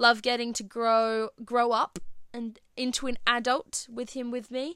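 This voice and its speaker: On a very clean recording with a silent background, a woman with an Australian accent speaks at a fairly slow pace in a bright, sharp tone. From Australia, Perth. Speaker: podcast host. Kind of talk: casual solo chat.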